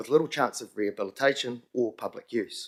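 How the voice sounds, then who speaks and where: A man talks very fast in a New Zealand accent. The recording is very clean, with a silent background. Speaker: community group convener presenting to council. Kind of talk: public submission to council committee.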